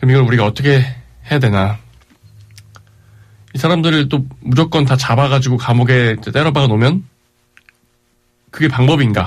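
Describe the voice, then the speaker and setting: A man talks at a moderate pace with long, frequent pauses. His voice is somewhat breathy and very even in loudness. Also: medium pitch for a man, ordinary pitch variation. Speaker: radio host. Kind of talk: casual radio talk.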